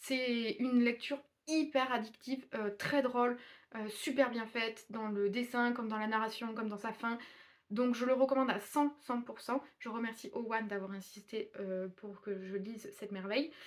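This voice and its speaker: A woman talks at a moderate pace with a fairly high pitch and ordinary pitch variation. Noticeable background noise runs underneath. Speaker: booktuber reviewing manga. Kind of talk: casual video review. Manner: mumbling, not clearly articulated.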